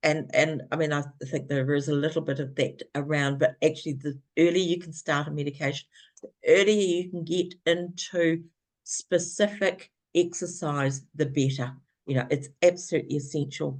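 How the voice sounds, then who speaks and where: A woman speaks in a New Zealand accent at a very deep, low pitch. Her pace is moderate and her intonation fairly even. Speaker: former care partner of person with Parkinson's. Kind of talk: webinar talk. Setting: video webinar.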